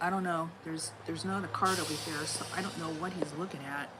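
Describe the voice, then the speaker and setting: With an American accent and fairly even intonation, a woman speaks at a fairly low pitch in a room with audible echo. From Los Angeles, US. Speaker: tarot reader. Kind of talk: live stream tarot reading.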